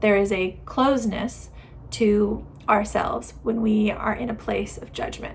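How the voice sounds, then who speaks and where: A woman speaks at a fairly slow pace in audible room echo with noticeable background noise. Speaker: lifestyle YouTuber. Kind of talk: casual advice talk to camera. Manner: loud.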